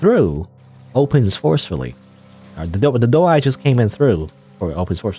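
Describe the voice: What we hear is plain reading aloud.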